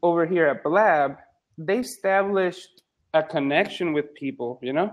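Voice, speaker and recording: A moderate pace with ordinary pitch variation. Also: man, high pitch for a man. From Puerto Rico. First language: Spanish. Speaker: psychologist and medical student. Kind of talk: casual chat. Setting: live video chat room. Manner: halting.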